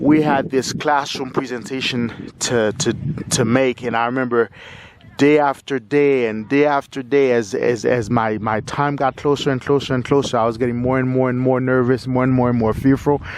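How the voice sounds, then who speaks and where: A man's medium-pitched voice in a monotone, flat intonation at a moderate pace. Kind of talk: casual talk to camera. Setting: outdoors. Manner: stutters.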